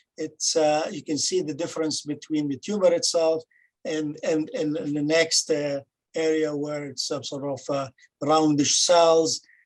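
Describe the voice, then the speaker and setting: A man's fairly high voice at a fairly slow pace, with fairly even intonation. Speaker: pathologist presenting a case. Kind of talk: case presentation. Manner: halting, many fillers.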